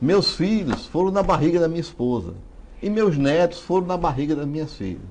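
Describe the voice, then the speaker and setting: Against audible room echo, a high-pitched man speaks at a moderate pace with ordinary pitch variation. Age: 60s. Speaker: writer and genealogist. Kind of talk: interview.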